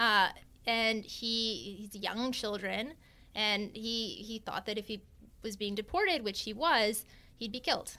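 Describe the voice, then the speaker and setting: A woman speaks at a fairly slow pace with a fairly high pitch. Her tone is bright and sharp, and the recording is very clean with a silent background. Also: ordinary pitch variation. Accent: Canadian. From Canada, Vancouver Island. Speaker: tech startup CEO and lawyer. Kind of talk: interview conversation.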